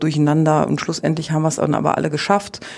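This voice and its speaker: The woman's voice has a very deep, low pitch. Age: 40s. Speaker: athletics coach. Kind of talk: interview.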